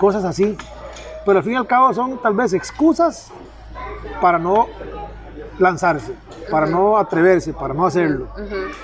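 Lively intonation carries the speech at a moderate pace, broken by long, frequent pauses, with crowd noise in the background and audible room echo. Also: man. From Costa Rica, southern region. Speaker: podcast host, digital marketing agency. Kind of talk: casual chat. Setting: outside the office, relaxed setting.

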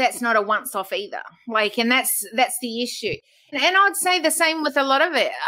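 In a raised, projected voice with a bright, sharp tone, the speaker moves at a fairly quick pace with very wide pitch swings. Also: woman, high pitch for a woman. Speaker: podcast host. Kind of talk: casual interview conversation. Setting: video call from home studio.

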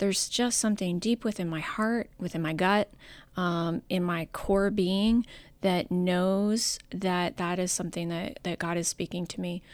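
On a very clean recording with a silent background, a plain, everyday voice speaks at a fairly slow pace with fairly even intonation. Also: woman, medium pitch for a woman. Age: 40s. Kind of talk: casual chat.

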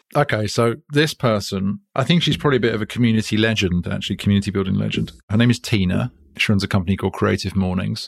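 Very fast and with a British accent, a man speaks at a fairly low pitch with ordinary pitch variation, recorded very cleanly against a silent background with a dry, close sound and no echo. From Britain. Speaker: company founder. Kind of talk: interview conversation.

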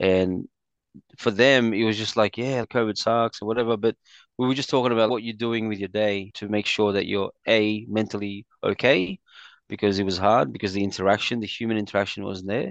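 A man's fairly low voice in an Australian accent, fairly quick and fairly even in intonation, with a dry, close sound, no echo and a quiet background. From Australia (Sydney, migrated from the Philippines as a child). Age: 40s. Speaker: entrepreneur, community event organiser. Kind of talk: casual interview chat.

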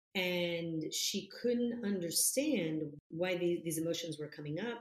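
Speaking in a fairly low pitch with an Italian accent, a woman is heard with audible room echo. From Italy, Florence. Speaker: business coach. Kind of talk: interview.

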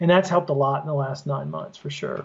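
With a Southern US accent, a man speaks with ordinary pitch variation. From US South. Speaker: former trial lawyer. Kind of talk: interview. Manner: hesitant with frequent fillers.

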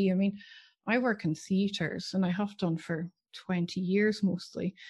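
A woman talks at a moderate pace in a medium pitch. Her voice is somewhat breathy against a quiet background. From UK. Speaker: podcast host and nurse educator. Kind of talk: casual interview.

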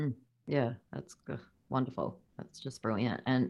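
Speaking at a moderate pace in an Australian accent, a woman has a very deep, low voice on a very clean recording with a silent background.

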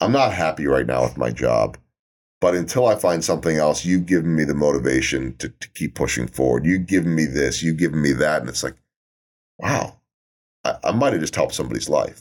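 Very deep and low, a man's voice carries vocal fry. He moves at a fairly quick pace with lively intonation. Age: 50s. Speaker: sports television broadcaster and motivational speaker. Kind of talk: casual interview.

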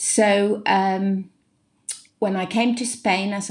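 A woman speaks at a very slow pace. Her voice has vocal fry. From England (Cheshire, Wirral, Hampshire). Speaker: English teacher and business coach. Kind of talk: interview.

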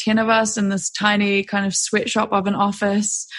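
Somewhat breathy and at a medium pitch, a woman with a New Zealand accent speaks at a moderate pace in a monotone, flat intonation over a quiet background. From New Zealand, West Auckland. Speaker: hiker and filmmaker. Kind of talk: casual chat. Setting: remote call.

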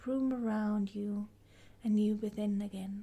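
Fairly high in pitch and somewhat breathy, a woman's voice carries a calm, soothing tone that is dark and mellow. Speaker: podcast host and guide. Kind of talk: guided meditation. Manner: slow, calm, soothing; gentle, soft-spoken, with long pauses.

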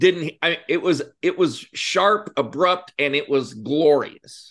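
The speaker is a man with an American accent. Nothing sounds in the quiet background. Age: 50s. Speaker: entrepreneur and army veteran. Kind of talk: interview.

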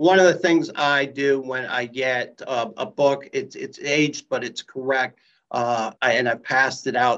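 With a plain, everyday voice, a man talks at a medium pitch and with fairly even intonation. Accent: American. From US Midwest, Columbus, Ohio. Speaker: company CEO. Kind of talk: casual interview.

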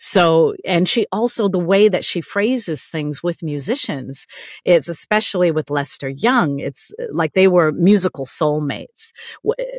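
In an American accent, a woman with an unremarkable speaking voice talks at a fairly low pitch and fairly slow pace with lively intonation. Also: dry, close sound with no echo. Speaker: actress and singer. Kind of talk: casual interview conversation.

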